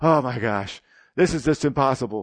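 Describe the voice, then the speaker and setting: A man with a plain, everyday voice talks at a medium pitch with lively intonation. The background is quiet. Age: 60s. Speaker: guest preacher. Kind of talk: sermon. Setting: church with congregation. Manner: conversational.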